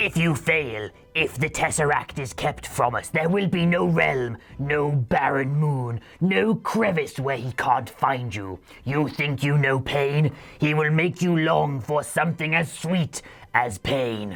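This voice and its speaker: A put-on character voice, low-to-middle in pitch and menacing in tone, delivered at a fairly slow pace. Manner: menacing, threatening.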